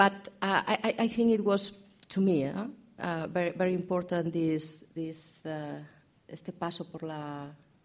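A woman's voice in a Catalan accent, with ordinary pitch variation. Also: fairly low pitch for a woman. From Barcelona, Spain. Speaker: crime novelist. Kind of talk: panel discussion. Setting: bookshop event with audience.

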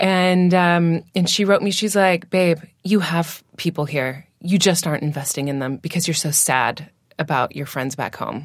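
In a plain, everyday voice, a woman with an American accent speaks at a moderate pace, her fairly low pitch varying in an ordinary way on a very clean recording with a silent background. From Washington State, US. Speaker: singer and food blogger. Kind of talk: casual chat. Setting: in person.

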